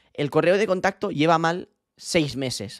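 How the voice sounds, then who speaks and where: Speech at a moderate pace with ordinary pitch variation comes through dry with no echo over a quiet background. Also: man. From Spain. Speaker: streamer. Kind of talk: casual livestream chat. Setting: bedroom stream setup. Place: home room. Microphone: studio mic.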